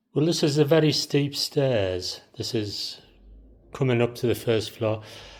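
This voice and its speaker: On a very clean recording with a silent background, a man with a Teesside accent speaks at a fairly slow pace in a medium pitch with ordinary pitch variation. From Teesside, England. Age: 60s. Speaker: DIY house renovator. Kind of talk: casual talk to camera, walkthrough.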